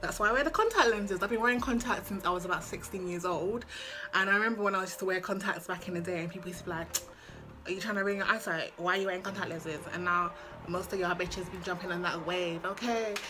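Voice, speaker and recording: A woman speaks at a very fast pace and medium pitch, her tone animated. Noticeable background noise and audible room echo fill the recording. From London, England. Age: 20s. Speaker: lifestyle vlogger. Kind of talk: casual chat.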